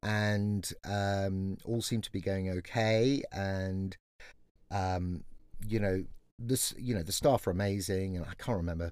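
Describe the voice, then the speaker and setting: In a very clean recording with a silent background, a man with an English accent speaks in a fairly low pitch. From England. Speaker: management consultant. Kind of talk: casual chat.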